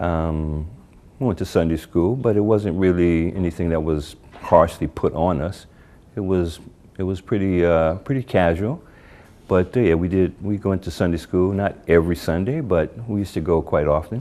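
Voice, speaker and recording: A dark, mellow tone moves at a moderate pace with ordinary pitch variation. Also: man, very deep, low pitch for a man. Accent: American. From US Northeast, New Jersey (Newark). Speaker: convert to Islam. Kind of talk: interview. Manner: halting, many fillers.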